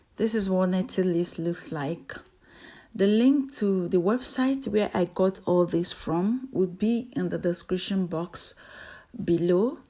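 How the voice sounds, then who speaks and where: A woman speaks slowly-ish, at a fairly slow pace and medium pitch, with ordinary pitch variation. Her tone is dark and mellow on a very clean recording with a silent background. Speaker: hair care YouTuber. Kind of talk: tutorial.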